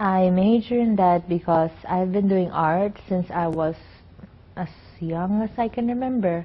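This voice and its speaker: Her pace is fairly slow and her voice somewhat breathy. This woman shows ordinary pitch variation. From Philippines. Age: 20s. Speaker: student and performer. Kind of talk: interview. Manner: halting.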